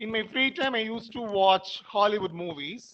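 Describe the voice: A man's high-pitched voice with lively intonation. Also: moderate pace.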